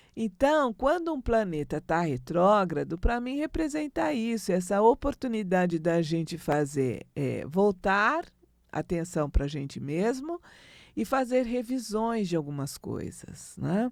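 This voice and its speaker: A woman speaks at a fairly slow pace with a medium pitch and very wide pitch swings. The recording is very clean, with a silent background. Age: 60s. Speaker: astrologer. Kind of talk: spiritual talk. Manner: conversational.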